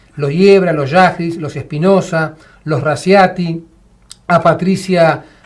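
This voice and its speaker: High-pitched for a man, this voice belongs to a male speaker. His intonation is fairly even. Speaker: war veteran. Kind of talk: casual chat.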